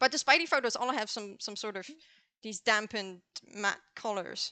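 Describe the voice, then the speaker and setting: A bright, sharp voice with a non-native accent at a moderate pace, with ordinary pitch variation and a dry, close sound with no echo. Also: woman, fairly high pitch for a woman. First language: not English. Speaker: co-host of a photography live show. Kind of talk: casual chat.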